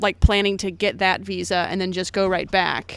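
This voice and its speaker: The recording is very clean, with a silent background. The speech moves at a moderate pace. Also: woman. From US Midwest, Missouri. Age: 30s. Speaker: traveller and brewery worker. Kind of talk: casual chat.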